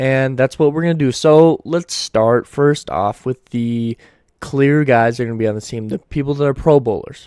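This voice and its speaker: This man talks at a fairly quick pace with a dark, mellow tone, medium pitch and fairly even intonation, recorded very cleanly against a silent background in a dry, close sound with no echo. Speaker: sports commentator YouTuber. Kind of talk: solo sports analysis video. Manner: stuttering at times; casual, conversational.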